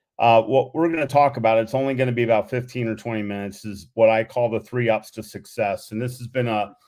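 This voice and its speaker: The speech moves at a very fast pace with hardly any pauses. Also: man, medium pitch for a man, fairly even intonation. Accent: American. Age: 60s. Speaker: motivational speaker and athletics coach. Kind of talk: presentation.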